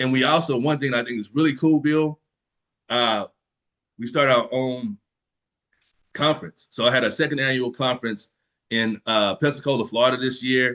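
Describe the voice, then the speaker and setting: A man speaks in an animated, bright, sharp tone with ordinary pitch variation. He leaves long, frequent pauses. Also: medium pitch for a man, dry, close sound with no echo. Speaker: fingerprinting business owner and trainer. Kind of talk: webinar presentation. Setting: online webinar call. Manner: fast.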